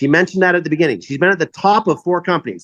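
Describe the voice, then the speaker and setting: Loud and at a very fast pace, a man speaks in a high pitch with a bright, sharp tone and ordinary pitch variation, the sound dry and close with no echo against a quiet background. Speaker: network marketing leader. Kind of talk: sales pitch.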